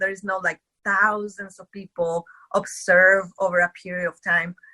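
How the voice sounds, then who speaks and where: Medium in pitch, a woman's voice has a bright, sharp tone. She speaks at a moderate pace, and the sound is dry and close with no echo. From Mexico. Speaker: medical doctor. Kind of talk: interview.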